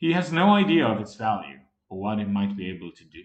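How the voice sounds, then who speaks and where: A man puts on a gruff character voice, fairly low in pitch and delivered at a very fast pace. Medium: read story. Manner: commanding, gruff.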